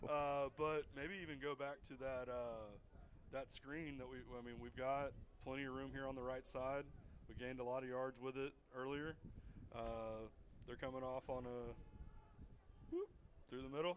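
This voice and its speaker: Pausing long and often, a man talks at a moderate pace with medium pitch and monotone, flat intonation. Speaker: guest football commentator. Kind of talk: live commentary. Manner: halting.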